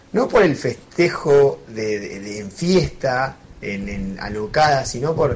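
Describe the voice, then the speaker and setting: A man's lively intonation comes through while music plays behind him. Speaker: listener sending audio. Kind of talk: voice message.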